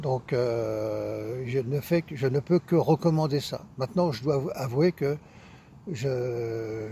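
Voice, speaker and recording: A man of medium pitch speaks in a dark, mellow, somewhat breathy tone with ordinary pitch variation. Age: 70s. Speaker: practitioner giving a testimonial. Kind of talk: interview testimony. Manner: halting, many hesitations.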